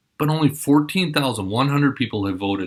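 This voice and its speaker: An ordinary speaking voice with an American accent moves at a fairly quick pace with lively intonation. The recording is very clean, with a silent background. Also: man. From Minnesota. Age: 40s. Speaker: mayoral candidate. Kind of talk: campaign address to students.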